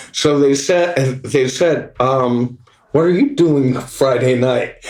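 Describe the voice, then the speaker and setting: Speaking very slowly, a man with an American accent has a fairly high pitch. His intonation is fairly even and his loudness very even. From US West Coast, Los Angeles. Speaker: guitarist. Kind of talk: casual chat. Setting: pub. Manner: halting, many fillers.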